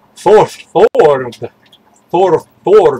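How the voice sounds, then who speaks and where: In a put-on character voice, the speaker talks at a fairly slow pace with a middle pitch. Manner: gruff.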